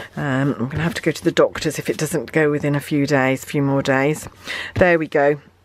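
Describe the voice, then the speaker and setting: The speaker has a British accent. The intonation is monotone and flat. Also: woman. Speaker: craft demonstrator. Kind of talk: tutorial. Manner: hesitant with fillers.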